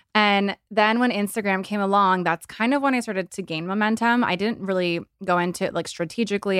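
A woman with an ordinary speaking voice talks at a fairly quick pace with hardly any pauses, at medium pitch and with fairly even intonation. The recording is very clean, with a silent background and a dry, close sound with no echo. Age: 30s. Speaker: influencer and entrepreneur. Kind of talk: casual chat.

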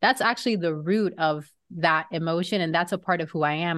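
An unremarkable speaking voice from a woman with an American accent, fairly quick and fairly even in intonation, over a quiet background. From Florida. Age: 30s. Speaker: podcaster. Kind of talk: casual chat.

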